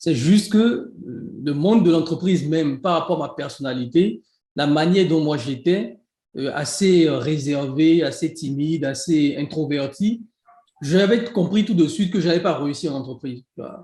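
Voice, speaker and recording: In a Beninese accent, a man speaks with a fairly high pitch and a dark, mellow tone. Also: ordinary pitch variation. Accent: Beninese (African French). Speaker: e-commerce entrepreneur and coach. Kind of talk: interview. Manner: fast.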